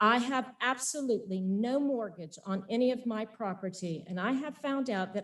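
At a fairly slow pace, a woman with an unremarkable speaking voice and a fairly high pitch speaks with ordinary pitch variation. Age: 50s. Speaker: farm and winery owner. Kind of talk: public comment at council meeting. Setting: city council meeting. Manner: formal.

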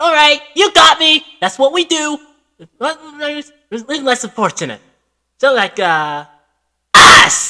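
A high-pitched, put-on character voice moves at a very slow pace, broken by long, frequent pauses.

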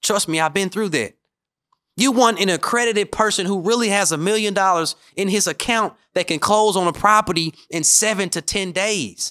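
A man projects a raised voice in a high pitch with a bright, sharp tone. He moves at a moderate pace with ordinary pitch variation over a quiet background. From Memphis, Tennessee; Tennessee. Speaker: podcast host, real estate coach. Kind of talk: solo podcast monologue; podcast monologue. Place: studio. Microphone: studio mic.

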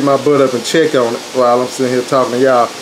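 A man speaks at a very fast pace over noticeable background noise. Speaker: home cook vlogger. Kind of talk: casual vlog chat. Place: kitchen. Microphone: phone near.

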